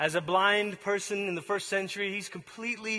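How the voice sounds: Fairly even intonation in a natural reading voice.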